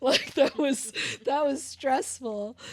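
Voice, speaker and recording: The recording is very clean with a silent background, and a woman's intonation stays fairly even. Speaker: podcast co-host, bikini competitor. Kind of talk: casual chat. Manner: fast.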